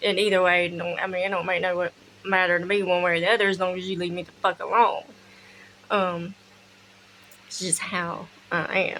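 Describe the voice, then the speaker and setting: Moderate pace from a woman with a Southern US accent, bright and sharp in tone, monotone, with long, frequent pauses and light background noise. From US South. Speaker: spiritual practice vlogger; witchcraft content creator. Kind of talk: casual tutorial; casual vlog chat. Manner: casual, with fillers and swearing. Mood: relaxed, blunt. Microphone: phone near.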